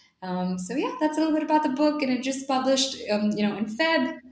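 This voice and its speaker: A woman is speaking. Her intonation is lively. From India. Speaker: author and social entrepreneur. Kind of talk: interview. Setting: video call.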